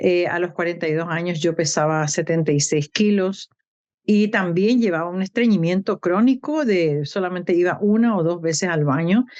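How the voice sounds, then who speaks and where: Fairly low female speech, moderately paced, its pitch varying in an ordinary way. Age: 60s. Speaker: nutrition program participant giving testimony. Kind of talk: testimony.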